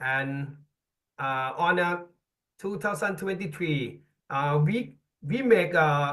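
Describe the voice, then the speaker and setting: A bright, sharp tone with lively intonation at a very slow pace. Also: man. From Thailand. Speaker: ice hockey coach instructor. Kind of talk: webinar presentation. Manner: halting.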